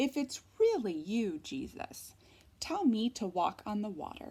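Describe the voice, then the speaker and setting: A woman puts on a character voice at a fairly high pitch. She delivers it at a fairly slow pace. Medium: read story.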